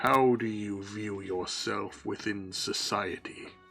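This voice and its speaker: A man's put-on character voice, fairly low and fairly slow, with faint music in the background. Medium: actual play. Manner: solemn, questioning.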